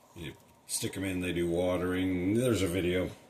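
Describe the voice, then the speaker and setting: A man's very deep, low voice, monotone and flat, with audible room echo. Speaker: product reviewer. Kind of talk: product review tutorial. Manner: casual.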